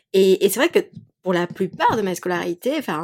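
This very clean recording has a silent background. The woman's voice sits fairly low in pitch. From Mexico. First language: Spanish (speaking French). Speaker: yoga teacher and podcaster. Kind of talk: casual chat. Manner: animated.

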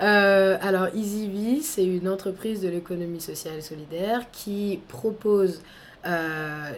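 A woman speaks at a medium pitch with ordinary pitch variation and a fairly slow pace. It is a plain, everyday voice. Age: 20s. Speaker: entrepreneur, training company founder. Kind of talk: interview.

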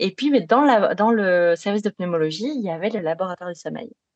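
In a slight Belgian accent, a woman talks at a moderate pace with a dry, close sound with no echo. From Belgium. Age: 30s. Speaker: sleep psychologist. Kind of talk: podcast interview.

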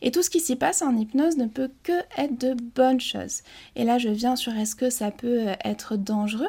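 A woman's high, dark and mellow voice, calm in tone with lively intonation, on a very clean recording with a silent background. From French Basque Country. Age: 20s. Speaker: hypnotherapist. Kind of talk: interview. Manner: calm, slow.

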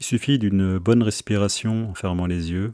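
Recorded with a dry, close sound and no echo, a man with a fairly low pitch and relaxed tone speaks fairly slowly with fairly even intonation. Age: 30s. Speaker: podcast host. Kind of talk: casual monologue. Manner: relaxed, hesitant with fillers.

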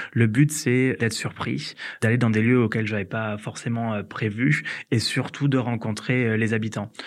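At a fairly slow pace, a man with a medium-pitched voice speaks with fairly even intonation. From southern France, Hérault valley (Occitanie). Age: 30s. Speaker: entrepreneur. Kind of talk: interview testimony. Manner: hesitant with fillers.

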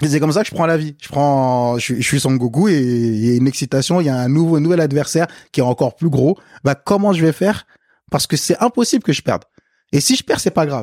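A fairly high-pitched man at a very fast pace with lively intonation and very even loudness, dry and close with no echo, on a very clean recording against a silent background. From Africa, then France from age eight. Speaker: podcast guest. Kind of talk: casual chat. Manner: casual, hesitant with repetitions.

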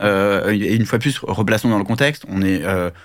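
A man does the talking. The recording is very clean, with a silent background. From France (Paris). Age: 30s. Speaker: business founder. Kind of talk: interview.

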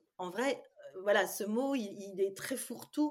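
A woman with an ordinary speaking voice keeps a moderate pace and shows ordinary pitch variation. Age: 50s. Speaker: psychologist and dietitian. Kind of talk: interview.

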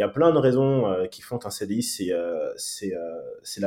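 Dark, mellow tone from a man at medium pitch, with ordinary pitch variation. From Paris suburbs, France. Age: 30s. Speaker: agency CEO. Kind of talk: interview. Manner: hesitant, many fillers.

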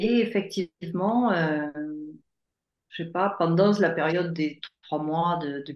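Pitch rises and falls in an ordinary way while the words come out fairly slowly. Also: woman. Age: 60s. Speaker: life coach. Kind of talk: testimony. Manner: halting.

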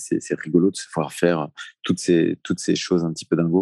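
A man's very deep, low voice with a dark, mellow tone and a fairly quick pace, dry and close with no echo. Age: 40s. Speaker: cold therapy coach. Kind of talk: interview conversation.

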